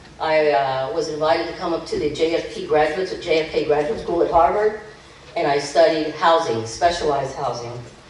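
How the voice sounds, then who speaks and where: A woman with an American accent speaks fairly quickly in a very deep, low pitch with ordinary pitch variation, amid noticeable background noise and audible room echo. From Key West, Florida. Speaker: political candidate. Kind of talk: campaign speech. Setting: stage with audience. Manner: animated.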